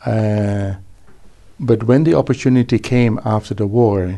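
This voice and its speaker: A man's voice of medium pitch, with a dark, mellow tone. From Netherlands, raised in Brisbane, Australia from age ten. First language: Dutch. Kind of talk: interview. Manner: hesitant, with fillers and restarts.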